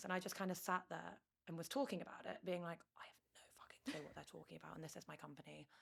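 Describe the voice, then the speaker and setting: A woman talks in a London accent at a very fast pace. Her pitch is fairly low. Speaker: startup founder. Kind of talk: interview. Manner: loud.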